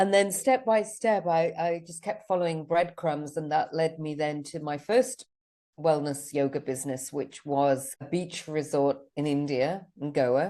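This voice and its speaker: Speaking in a British accent at a fairly slow pace, a woman has a very deep, low pitch and a dark, mellow tone with ordinary pitch variation. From Switzerland. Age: 50s. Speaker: business mentor and retreat founder. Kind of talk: podcast interview. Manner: halting.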